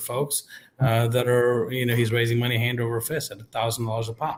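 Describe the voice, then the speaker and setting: Somewhat breathy and medium in pitch, a man speaks at a fairly quick pace. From Kansas, US Midwest (born in India). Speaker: political candidate, small business owner. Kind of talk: candidate forum debate.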